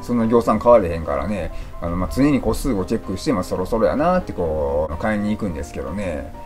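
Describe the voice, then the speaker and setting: Over clear background music, a man with an Osaka accent talks at a very fast pace with lively intonation. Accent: Kansai (Osaka dialect). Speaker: leukemia patient. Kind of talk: casual talk to camera. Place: home room. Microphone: phone near.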